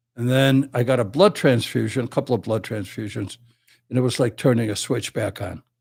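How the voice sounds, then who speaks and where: This man speaks at a medium pitch with ordinary pitch variation and a somewhat breathy tone. The recording is very clean, with a silent background. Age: 70s. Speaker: Vietnam veteran and criminal defense attorney. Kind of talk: casual chat.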